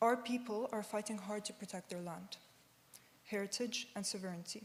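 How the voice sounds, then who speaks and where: A woman with a fairly high pitch speaks at a fairly quick pace, her intonation fairly even, while noticeable background noise runs underneath. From Ukraine, Kyiv. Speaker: student speaker at vigil. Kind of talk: prepared speech. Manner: impassioned.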